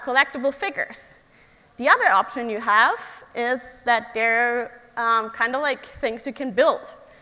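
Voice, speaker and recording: A woman's high-pitched, raised, projected voice with a German accent, a fairly slow pace and ordinary pitch variation. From Germany, Stuttgart area. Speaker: engineer. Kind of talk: talk to young audience.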